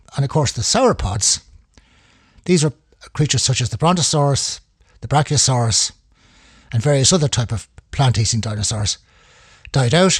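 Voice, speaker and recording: A man speaks at medium pitch and a moderate pace, somewhat breathy, with lively intonation. He leaves long, frequent pauses. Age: 70s. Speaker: amateur history enthusiast. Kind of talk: solo talk. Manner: halting.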